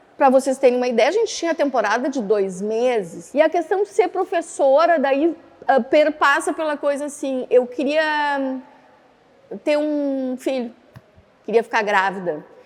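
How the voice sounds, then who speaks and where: Against noticeable background noise, a woman with a high voice speaks at a fairly slow pace in an animated tone with lively intonation. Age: 60s. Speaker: actress and death doula. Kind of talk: interview testimony. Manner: animated, conversational.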